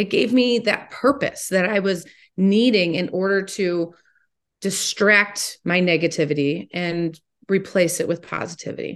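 A woman's unremarkable speaking voice with an American accent, fairly low in pitch with ordinary pitch variation, at a fairly slow pace against a quiet background. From Ohio, Toledo. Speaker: motivational speaker and teacher. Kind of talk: interview.

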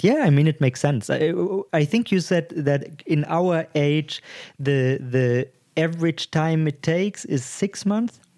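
A man with a non-native accent and a dark, mellow tone, fairly high in pitch, fairly slow in pace, with ordinary pitch variation and very even loudness. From Germany. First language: German. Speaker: podcast co-host. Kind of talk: casual chat.

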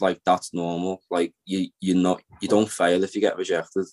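In a Liverpool accent, a man speaks at a moderate pace and a fairly low pitch, his delivery a flat monotone and the sound dry and close with no echo. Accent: Liverpool (Scouse). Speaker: film writer-director. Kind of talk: casual chat.

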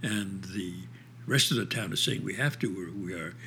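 A man talks with a New York accent. His voice carries vocal fry. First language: Yiddish. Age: 80s+. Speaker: theater director and actor. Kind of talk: interview.

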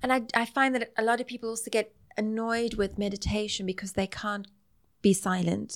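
A woman with a South African accent, fairly high in pitch, at a fairly quick pace with fairly even intonation. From South Africa, Greek Italian family. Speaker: nutritional therapist. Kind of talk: interview conversation.

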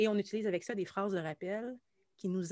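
In a Quebec accent, a woman speaks at a moderate pace and medium pitch with ordinary pitch variation, the sound dry and close with no echo. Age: 40s. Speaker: musician and anxiety coach. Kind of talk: casual interview chat.

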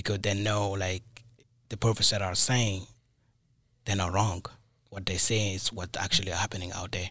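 With a West African accent, a man speaks at a moderate pace with long, frequent pauses, his fairly low pitch held in monotone, flat intonation, in a very clean recording with a silent background. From Mali, West Africa. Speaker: college alum, junior system administrator.

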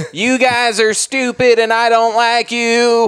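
Putting on a character voice, a man speaks at a fairly slow pace in an extremely high pitch with monotone, flat intonation. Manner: gruff, insulting.

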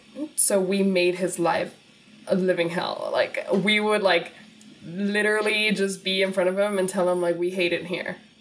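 Over music in the background, a woman speaks at a medium pitch and moderate pace with monotone, flat intonation. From Laredo, Texas and Guadalajara, Mexico. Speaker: content creator and podcaster. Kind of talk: casual chat.

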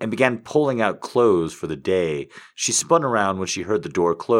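Simple reading aloud

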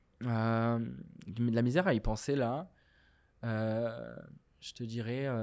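A man speaking at a very slow pace, with long, frequent pauses and big swings in loudness. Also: medium pitch for a man, ordinary pitch variation. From Morocco. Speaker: comedian. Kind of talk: casual chat.

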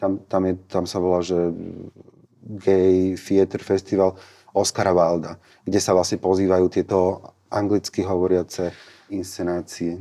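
A man's very deep, low voice with a dark, mellow tone, fairly slow pace, monotone, flat intonation and long, frequent pauses. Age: 30s. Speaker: theatre festival director. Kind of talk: casual interview. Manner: hesitant, many fillers.

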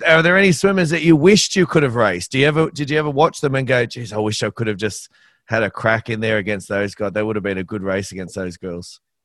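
A man at medium pitch with an Australian accent, very fast, with very wide pitch swings and hardly any pauses, against a quiet background. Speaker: podcast host. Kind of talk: interview. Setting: video call.

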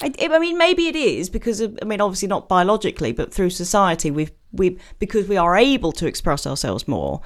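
Speaking at a very fast pace, a woman with a British accent uses a medium pitch and very wide pitch swings. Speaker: podcast co-host. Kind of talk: casual chat. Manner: jokey.

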